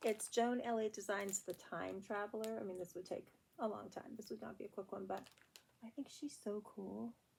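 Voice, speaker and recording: A woman's medium-pitched voice with vocal fry, at a moderate pace with fairly even intonation. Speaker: cross stitch video blogger. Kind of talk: casual chat.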